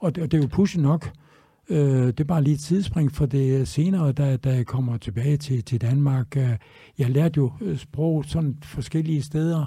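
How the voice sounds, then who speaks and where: A man's somewhat breathy, dark and mellow voice, fairly high in pitch, at a fairly slow pace with very even loudness. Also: ordinary pitch variation. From Denmark, Tønder (Southern Jutland). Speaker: chef. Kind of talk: interview. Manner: halting.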